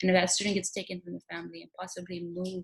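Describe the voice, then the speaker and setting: A woman with a Spanish accent at a very fast pace. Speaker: teacher. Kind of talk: recorded application interview monologue. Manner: halting.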